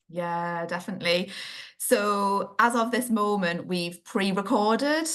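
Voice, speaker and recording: Over a quiet background, a woman with a northeast English accent speaks very slowly at a medium pitch, with ordinary pitch variation. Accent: northeast England. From northeast England. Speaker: children's occupational therapist, podcast co-host. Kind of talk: casual chat.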